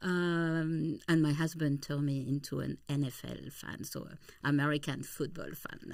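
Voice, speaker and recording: A woman with a French accent has a very deep, low voice and a moderate pace. The recording is very clean, with a silent background. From eastern France, near Swiss border. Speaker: travel company founder. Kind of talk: interview.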